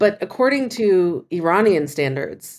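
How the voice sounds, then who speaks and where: The voice belongs to a woman. She speaks with lively intonation. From US, Kentucky, partly raised in Iran. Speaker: venture capitalist and diaspora activist. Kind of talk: interview, casual chat.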